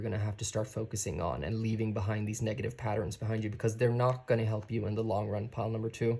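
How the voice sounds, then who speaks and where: A man with a non-native accent speaks very fast, with hardly any pauses, in a medium-pitched, somewhat breathy voice. His intonation is monotone and flat, and the recording is very clean with a silent background. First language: not English. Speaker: tarot reader. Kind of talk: tarot reading. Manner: casual, conversational.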